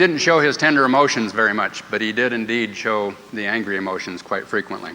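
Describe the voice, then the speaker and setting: With hardly any pauses, a man talks in a Midwestern US accent with lively intonation over noticeable background noise. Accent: US Midwest. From Iowa, US Midwest. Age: 50s. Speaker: course participant sharing his story. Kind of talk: testimony.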